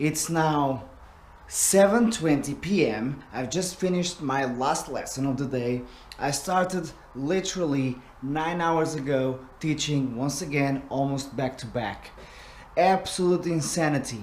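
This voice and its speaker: A man talks fairly slowly with a fairly high pitch for a man. Room echo is audible, and background noise is noticeable. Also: ordinary pitch variation. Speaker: drum teacher. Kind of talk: vlog.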